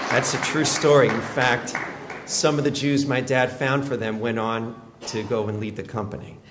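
A man at a moderate pace, intonation fairly even, amid noticeable background noise. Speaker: rabbi delivering his father's eulogy. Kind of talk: eulogy at a funeral, warm family storytelling honoring his late father. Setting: funeral service before mourners. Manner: tender and grateful, with fond chuckles at family anecdotes; measured, narrative pacing with occasional 'uh' hesitations. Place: church. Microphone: podium.

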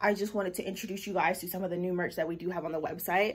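In a raspy, put-on character voice, a woman rattles along at a very fast pace with monotone, flat intonation at a medium pitch. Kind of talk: casual vlog chat.

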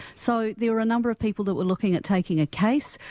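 A woman speaks with a New Zealand accent. Her tone is dark and mellow. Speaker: panelist. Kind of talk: radio panel discussion. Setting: radio studio.

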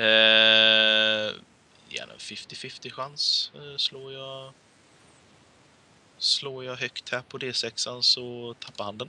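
This man's voice sits at a medium pitch with a bright, sharp tone. His pitch barely moves.

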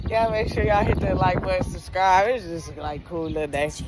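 Music plays behind a woman who talks at a fairly quick pace. The sound is dry, with no echo. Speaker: vlogger. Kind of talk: casual vlog chat. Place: street. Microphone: phone near.

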